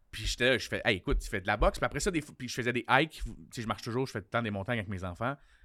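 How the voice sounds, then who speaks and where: A man speaks very fast in a Quebec accent, medium in pitch and bright, sharp in tone, with ordinary pitch variation on a very clean recording with a silent background. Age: 40s. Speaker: comedian. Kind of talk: casual chat.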